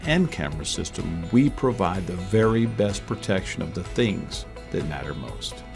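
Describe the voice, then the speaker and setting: Music plays in the background as a man with a fairly low pitch talks at a moderate pace. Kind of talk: corporate promotional narration.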